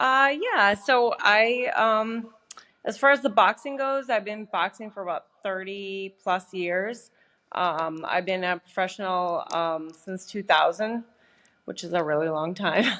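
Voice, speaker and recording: With a Canadian Prairies accent, this voice has a bright, sharp tone, a fairly slow pace and ordinary pitch variation. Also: woman, medium pitch for a woman. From Canada, Saskatchewan. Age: 40s. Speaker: professional boxer. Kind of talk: podcast interview.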